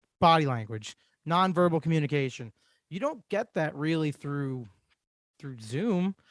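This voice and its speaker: With long, frequent pauses, a man speaks at a moderate pace in a fairly high pitch. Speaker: podcast host. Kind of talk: casual chat. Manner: loud.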